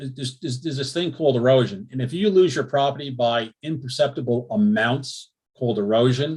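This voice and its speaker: A man talks at a fairly quick pace with hardly any pauses, ordinary pitch variation and a somewhat breathy voice. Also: medium pitch for a man. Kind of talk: public meeting presentation. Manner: fast.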